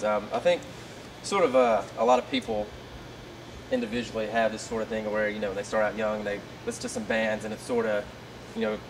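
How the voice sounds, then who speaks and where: A man with a Southern US accent talks at a very fast pace in a medium pitch, with ordinary pitch variation. Long, frequent pauses break up his speech, and there is noticeable background noise. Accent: southern twang. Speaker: interviewer. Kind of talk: casual interview. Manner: halting.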